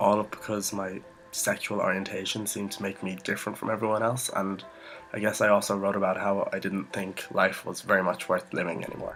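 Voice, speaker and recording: A man's fairly low, fairly quick voice with fairly even intonation, over background music. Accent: Irish. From Ireland. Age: young. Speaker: vlogger. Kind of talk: personal story vlog.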